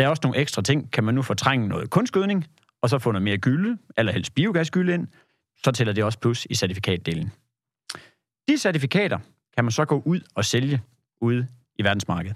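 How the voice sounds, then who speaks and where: A man talks at a fairly quick pace in a medium pitch, with very wide pitch swings. Long pauses come often. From Jutland, Denmark. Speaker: agricultural carbon certification consultant. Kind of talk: podcast interview. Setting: studio.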